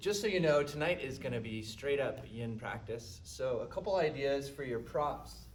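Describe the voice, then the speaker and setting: Loud and at a fairly high pitch, a man swings very widely in pitch at a fairly slow pace amid audible room echo. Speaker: yoga instructor. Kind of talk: guided yoga class. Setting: live-streamed studio class.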